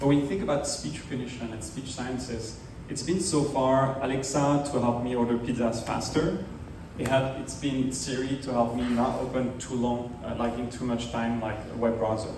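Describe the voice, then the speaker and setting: Noticeable background noise and audible room echo surround a man whose intonation is fairly even. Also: medium pitch for a man, moderate pace. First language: sign language. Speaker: startup founder demoing accessibility tech. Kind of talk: demo presentation. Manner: hesitant, many fillers.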